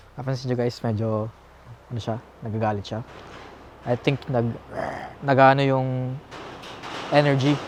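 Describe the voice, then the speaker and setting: A man speaks at a medium pitch and a moderate pace, in a flat, monotone delivery broken by long, frequent pauses. Noticeable background noise runs underneath. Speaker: video host, paranormal explorer. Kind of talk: casual vlog, Taglish. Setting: outdoors at night at a bridge.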